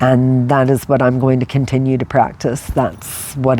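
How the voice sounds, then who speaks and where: A woman with a very deep, low pitch speaks over noticeable background noise. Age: 60s. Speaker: lifestyle vlogger. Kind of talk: personal reflective monologue. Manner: casual, conversational with fillers.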